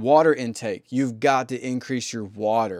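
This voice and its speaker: In a very clean recording with a silent background and a dry, close sound with no echo, a man with an American accent and an unremarkable speaking voice talks at a moderate pace in a medium pitch with ordinary pitch variation. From US South. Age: 30s. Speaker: podcast host. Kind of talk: solo monologue. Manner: casual.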